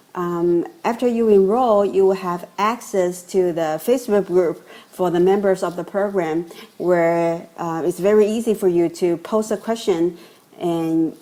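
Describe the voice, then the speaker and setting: Against noticeable background noise, a woman speaks at a fairly slow pace and medium pitch with ordinary pitch variation. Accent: non-native. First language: not English. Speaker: course customer giving testimonial. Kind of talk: testimonial.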